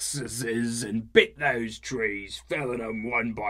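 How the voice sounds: Fairly even intonation in a natural reading voice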